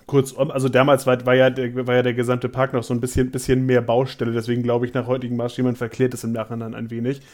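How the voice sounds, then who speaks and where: A man's medium-pitched voice at a very fast pace. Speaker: theme park podcaster and vlogger. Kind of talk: casual chat.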